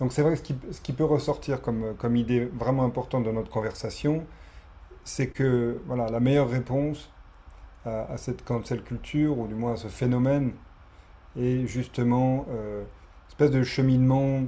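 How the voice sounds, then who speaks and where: A man speaks at a moderate pace in a normal speaking voice, at medium pitch. His intonation is fairly even. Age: 40s. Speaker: podcast host. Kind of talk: interview conversation.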